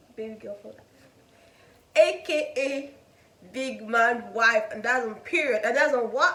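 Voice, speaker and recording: A woman speaks with a Nigerian accent at high pitch. Audible room echo surrounds the recording. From Nigeria, Igbo (Enugu). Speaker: student vlogger. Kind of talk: casual chat.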